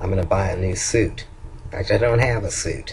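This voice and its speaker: At a moderate pace, the man talks in a Southern US accent. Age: old. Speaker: vlogger. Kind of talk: video diary. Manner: halting.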